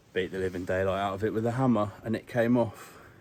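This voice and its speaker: Fairly even intonation from a man with a fairly low voice at a moderate pace, over noticeable background noise. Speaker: vlogger. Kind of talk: casual vlog talk to camera. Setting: in a car.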